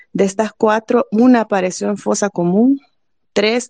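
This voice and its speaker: With an ordinary speaking voice, a woman talks at a fairly slow pace and a fairly high pitch. Her pitch variation is ordinary, and the sound is dry and close with no echo. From El Salvador, Apopa. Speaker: human rights advocate for detainees. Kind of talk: panel discussion.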